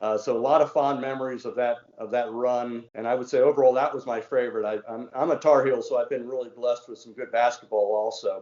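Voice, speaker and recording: A man talks at a fairly quick pace with a slight Southern US accent. His pitch is medium and his intonation fairly even. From Washington DC, US. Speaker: former mayor. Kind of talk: casual interview.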